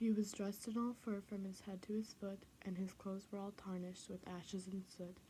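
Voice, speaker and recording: A woman whispers at a moderate pace, soft-spoken and somewhat breathy. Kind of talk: children's book and poem reading. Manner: soft-spoken, whispery.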